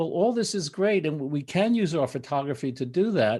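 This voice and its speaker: Against a quiet background, a dark, mellow tone moves at a moderate pace. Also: man. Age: 70s. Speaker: photographer and author. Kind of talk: interview. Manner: animated.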